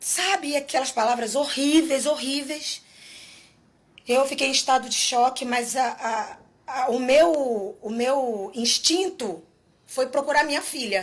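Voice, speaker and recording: The woman's voice is high-pitched with lively intonation. She talks at a very slow pace. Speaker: singer. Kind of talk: testimony. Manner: halting.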